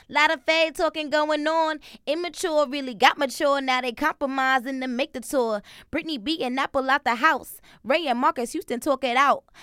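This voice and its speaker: Recorded with a dry, close sound and no echo, a woman speaks at a high pitch with a bright, sharp tone. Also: ordinary pitch variation, moderate pace. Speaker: podcast co-host. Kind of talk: casual chat. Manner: animated.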